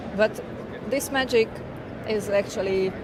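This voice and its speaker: A woman speaks very slowly in a Hungarian accent with fairly even intonation. Audible room echo and noticeable background noise fill the recording. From Hungary, central small town. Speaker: tech consultant and business owner. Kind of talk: interview. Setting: tech conference.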